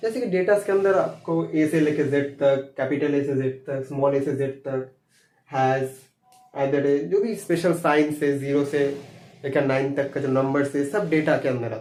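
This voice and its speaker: A man speaks in a Bengali accent with a fairly high pitch. He keeps a moderate pace and ordinary pitch variation. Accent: Bengali-accented Hindi. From Bengal, India. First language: Bengali (speaking Hindi). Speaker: computer science teacher. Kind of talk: lecture. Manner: halting, with fillers.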